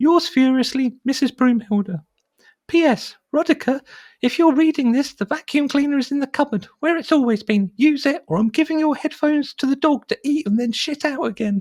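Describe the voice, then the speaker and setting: A put-on character voice speaks at a high pitch and a moderate pace. The recording is very clean with a silent background. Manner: furious.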